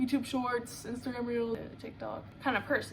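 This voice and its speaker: Over noticeable background noise, a woman is speaking. Her pitch is high. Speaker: book reviewer and artist. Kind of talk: casual vlog review. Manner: animated.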